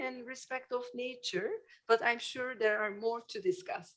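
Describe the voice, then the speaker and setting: Her intonation lively and her pitch high, a woman speaks at a fairly slow pace. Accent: non-native. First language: not English. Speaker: public hearing speaker, architect. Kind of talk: public comment. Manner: halting.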